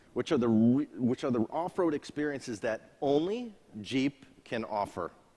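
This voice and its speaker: Using a plain, everyday voice with an American accent, the speaker goes at a fairly slow pace with lively intonation. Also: man. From USA. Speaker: auto industry executive. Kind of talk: launch event speech. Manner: formal.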